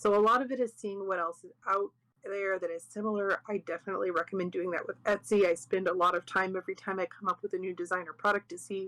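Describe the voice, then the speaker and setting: A woman talks at a very fast pace with hardly any pauses, her medium-pitched voice bright and sharp, the intonation fairly even and the sound dry and close with no echo. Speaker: craft workshop teacher. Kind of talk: informal workshop class. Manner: quieter, soft; casual, conversational.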